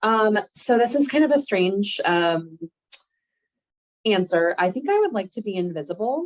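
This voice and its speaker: The voice is loud, with very wide pitch swings and long, frequent pauses. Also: woman, fairly high pitch for a woman, fairly slow pace. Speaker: volunteer impromptu speaker. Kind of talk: impromptu speech.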